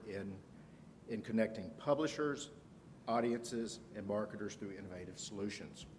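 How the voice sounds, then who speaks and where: A man talks at a fairly quick pace with a Southern US accent and ordinary pitch variation. His loudness swings widely, and the room echo is audible. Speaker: conference speaker, analytics manager. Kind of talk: conference presentation.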